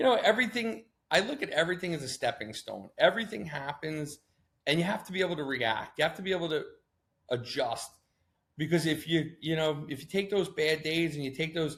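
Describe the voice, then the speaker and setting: Lively intonation and an animated tone mark this man's speech. His pitch is fairly high, and his pace is fairly quick. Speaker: marketing agency founder. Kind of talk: interview. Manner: loud.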